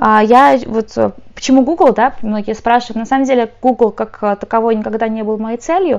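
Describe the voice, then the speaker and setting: This woman has an unremarkable speaking voice with ordinary pitch variation. She talks at a moderate pace. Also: fairly high pitch for a woman. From Ukraine, moved to Ireland as a teen. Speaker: tech company support specialist. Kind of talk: casual chat.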